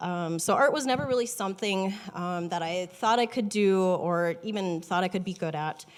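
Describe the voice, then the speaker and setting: A shaky woman's voice of medium pitch with an Upper Midwest accent and hardly any pauses. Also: ordinary pitch variation, moderate pace. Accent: Upper Midwest American. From North Dakota, small town. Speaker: watercolor artist. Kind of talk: personal introduction talk. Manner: hesitant, many ums.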